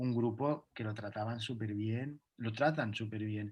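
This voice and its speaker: Somewhat breathy, a man talks at a fairly slow pace and medium pitch. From Catalonia, Spain. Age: 30s. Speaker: dancer. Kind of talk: interview. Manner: halting.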